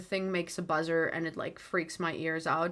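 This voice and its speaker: The recording is very clean, with a silent background. A woman's voice comes through with a bright, sharp tone. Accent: American. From South Africa, coloured community. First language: Afrikaans. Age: 30s. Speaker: livestream host. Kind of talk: live stream chat with viewers. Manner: many fillers and restarts.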